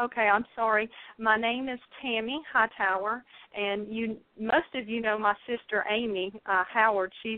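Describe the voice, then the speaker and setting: A woman with a fairly high pitch speaks in a Southern US accent with fairly even intonation. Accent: southern drawl. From North Carolina. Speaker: caller sharing a dream on a faith show. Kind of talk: testimony. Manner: halting.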